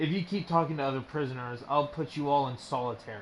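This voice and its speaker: A man growls in a put-on character voice, fairly high in pitch with ordinary pitch variation. He speaks at a very fast pace over clear background noise. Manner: growling, menacing.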